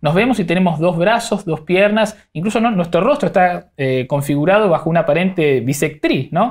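This man talks at a fairly quick pace with very wide swings in pitch, and the background is quiet. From Argentina. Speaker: podcast host. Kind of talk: interview. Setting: studio. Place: studio. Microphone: lapel.

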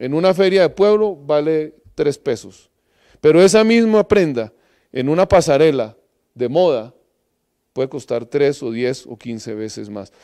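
Against a quiet background, a man with a fairly high pitch and a dark, mellow tone speaks at a fairly slow pace, his pitch swinging very widely, his loudness rising and falling sharply, and long pauses coming often. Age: middle-aged. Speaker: agronomist, project coordinator; presenter. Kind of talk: lecture. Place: hall. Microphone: handheld.

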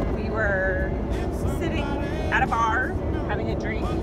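A woman's voice, dry with no echo, with music in the background. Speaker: road trip vlogger. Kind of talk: casual vlog chat. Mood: cheerful, relaxed. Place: car. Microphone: phone near.

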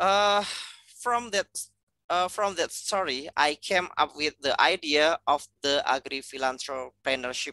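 In an Indonesian accent, a man speaks slowly-ish, at a fairly slow pace, with lively intonation, a bright, sharp tone and a dry sound with no echo. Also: quiet background. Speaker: university lecturer, agricultural economist; university lecturer. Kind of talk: lecture. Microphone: headset.

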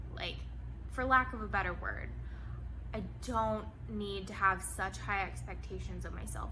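Noticeable background noise sits behind a woman who talks at a fairly slow pace. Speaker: lifestyle vlogger. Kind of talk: reflective monologue to camera. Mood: reflective, candid. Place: home room. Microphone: phone near.

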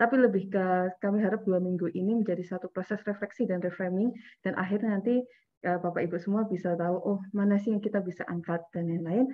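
Against a quiet background, a woman talks at a very fast pace with fairly even intonation. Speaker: event organizer; workshop facilitator. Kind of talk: workshop announcements. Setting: video call. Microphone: video call.

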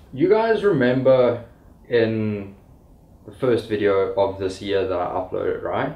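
A man speaks at a very slow pace, with audible room echo. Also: long, frequent pauses. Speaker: vlogger. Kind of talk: casual vlog talk. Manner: casual, upbeat.

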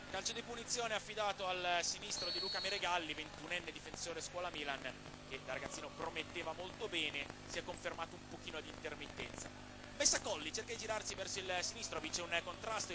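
Excited in tone, a man speaks at a very fast pace in a high pitch with ordinary pitch variation. Background noise is noticeable. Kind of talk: live sports commentary. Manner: fast, fluent play-by-play, brisk and excited at the goal.

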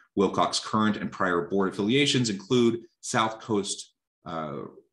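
Lively in intonation, a man with an ordinary speaking voice talks at a fairly quick pace and a fairly low pitch over a quiet background. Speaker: webinar host. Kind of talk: reading bios, interview intro. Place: home room. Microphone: earbuds.

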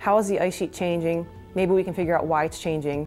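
A woman talks at a fairly quick pace and a fairly low pitch. Faint music plays in the background. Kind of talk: interview answer. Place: studio. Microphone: lapel.

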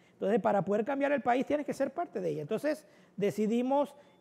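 A man with an extremely high pitch, a dark, mellow tone and ordinary pitch variation. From Panama City, Río Abajo; Panama. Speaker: political candidate; candidate. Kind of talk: casual cooking show interview. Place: studio. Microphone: lapel.

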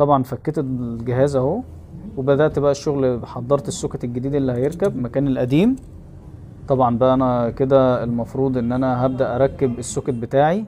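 A man with a normal speaking voice talks at a moderate pace, his pitch medium and his intonation fairly even. Light background noise can be heard. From Egypt, Zagazig; Egypt. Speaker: phone repair technician and YouTuber; YouTuber. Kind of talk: vlog narration. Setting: repair shop workroom. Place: workshop. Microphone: phone near.

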